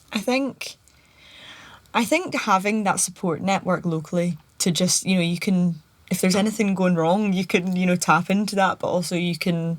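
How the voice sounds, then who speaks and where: Speaking with a Scottish accent, a woman keeps a medium pitch, fairly even intonation and a moderate pace. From Scotland. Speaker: podcast guest. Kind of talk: casual chat.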